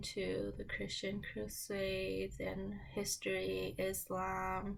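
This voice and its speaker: A woman speaks with audible room echo. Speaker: lifestyle vlogger. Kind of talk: casual get-ready-with-me vlog. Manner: rambling, unhurried.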